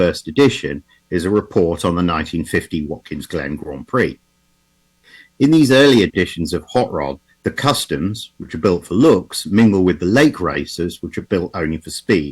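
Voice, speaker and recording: Lively in intonation, a man with an English accent speaks in a very deep, low voice at a moderate pace. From England. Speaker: automotive historian. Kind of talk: lecture. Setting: video call.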